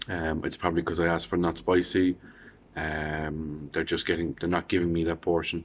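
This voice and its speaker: A man speaks in an Irish accent at a moderate pace. His very deep, low voice stays monotone and flat. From Ireland. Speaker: vlogger. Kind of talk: casual video diary. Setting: quarantine room. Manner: halting, many fillers.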